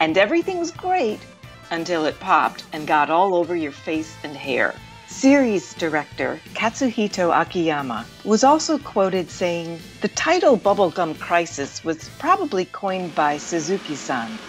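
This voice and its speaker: Music plays in the background as a woman talks at a moderate pace. Her fairly low pitch swings very widely. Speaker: voice actor. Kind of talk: documentary narration.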